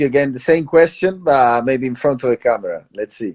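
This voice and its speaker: A man talks with a strong Italian accent at a moderate pace. His pitch variation is ordinary, and the background is quiet. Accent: Italian, thick. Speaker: traveler. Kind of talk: casual chat.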